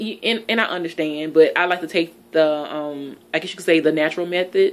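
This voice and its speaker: A woman with a fairly low pitch and fairly even intonation speaks in an ordinary speaking voice. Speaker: relationship advice vlogger. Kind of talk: casual vlog chat. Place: home room. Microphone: phone near.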